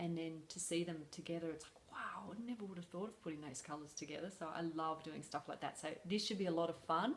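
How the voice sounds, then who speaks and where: Talking very fast with hardly any pauses, a woman with an Australian accent uses a fairly low pitch and ordinary pitch variation. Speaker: crochet designer vlogger. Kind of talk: casual vlog. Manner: hesitant, many fillers.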